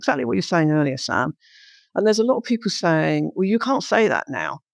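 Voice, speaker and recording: Speaking with a London accent at a fairly quick pace, the voice has vocal fry and very wide pitch swings, recorded dry and close with no echo in a very clean, silent setting. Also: woman. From London, England. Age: 60s. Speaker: entrepreneur. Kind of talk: interview.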